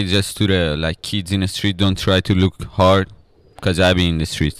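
In a very clean recording with a silent background, a man speaks at a fairly slow pace in a fairly low pitch. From Iran (Tehran). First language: Persian (speaking Spanish). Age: 20s. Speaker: rapper. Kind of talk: casual chat.

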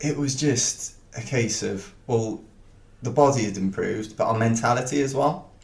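A man speaks with a South Welsh accent at a moderate pace. His pitch is medium, with ordinary pitch variation. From Wales, Penarth near Cardiff. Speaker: ultra runner. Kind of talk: casual interview.

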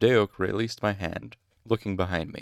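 Recorded very cleanly against a silent background, a man talks at a moderate pace in a dry, close sound with no echo. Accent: American. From Utah. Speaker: audiobook reader podcaster. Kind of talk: reading aloud.

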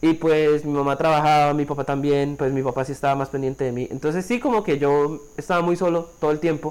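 A man with a normal speaking voice and a fairly high pitch talks at a fairly quick pace, using fairly even intonation and hardly any pauses. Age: 20s. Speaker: podcast co-host. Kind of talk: casual chat.

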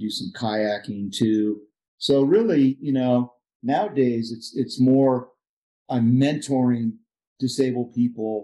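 Speech in an ordinary speaking voice comes at a fairly slow pace with fairly even intonation. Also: man. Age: 60s. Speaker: paraplegic climber and adaptive sports instructor. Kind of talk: interview storytelling.

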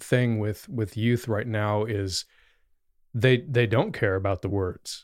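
A man with a plain, everyday voice talks at a medium pitch and fairly slow pace with ordinary pitch variation, on a very clean recording with a silent background. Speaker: podcast host and youth leader. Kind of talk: casual conversational discussion.

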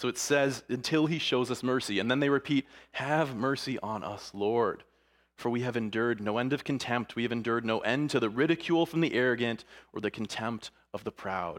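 Very clean recording with a silent background, a man's medium-pitched voice, fairly quick pace, animated tone and ordinary pitch variation. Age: 30s. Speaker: pastor. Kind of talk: sermon.

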